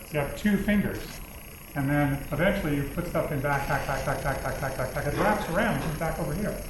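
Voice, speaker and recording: A man with a fairly high pitch talks at a fairly quick pace with ordinary pitch variation, with audible room echo and noticeable background noise. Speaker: university lecturer. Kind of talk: lecture. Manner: fast.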